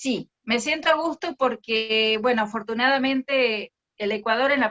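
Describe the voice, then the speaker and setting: Speaking at a fairly slow pace, a woman with a strong Argentine accent has a fairly high pitch and a bright, sharp tone. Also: dry, close sound with no echo. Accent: Argentine accent, still strong. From Argentina. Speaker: speech therapist. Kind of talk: interview conversation.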